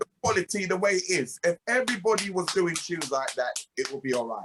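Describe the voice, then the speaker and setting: A loud voice races at a very fast pace with very wide pitch swings, its dry, close sound having no echo, over music in the background. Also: man, high pitch for a man. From England (UK-born, Jamaican heritage). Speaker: reggae singer and producer. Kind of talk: interview. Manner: emphatic.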